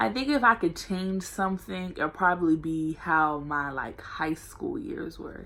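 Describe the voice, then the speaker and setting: Loud and fairly slow, this voice runs with hardly any pauses and very wide pitch swings. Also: woman, fairly low pitch for a woman. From Norfolk, Virginia, US. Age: 18. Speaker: college student vlogger. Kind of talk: casual vlog Q&A. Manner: loud and energetic.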